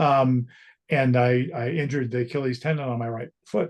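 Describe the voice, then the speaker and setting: A man's somewhat breathy voice. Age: 60s. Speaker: strength training client. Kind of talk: interview. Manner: halting.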